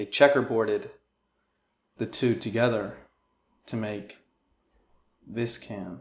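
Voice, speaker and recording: Here a man talks at a very slow pace with long, frequent pauses. His pitch is medium and his intonation fairly even. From Rochester, New York. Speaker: comedy interview host. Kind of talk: comedic interview. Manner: monotone, flat; deadpan.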